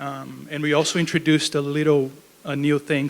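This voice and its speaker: Speaking in a Brazilian accent, a man keeps a fairly quick pace. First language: Portuguese. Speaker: research program manager. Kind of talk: lecture. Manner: casual, with fillers.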